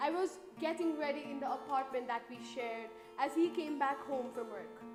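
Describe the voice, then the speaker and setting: A woman's high-pitched voice at a moderate pace, with ordinary pitch variation and music in the background. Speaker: university student. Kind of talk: spoken word poetry performance.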